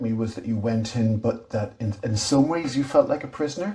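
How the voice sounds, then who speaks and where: Moderate pace and medium pitch from a man, in a normal speaking voice. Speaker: interviewer and series host. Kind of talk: interview questions.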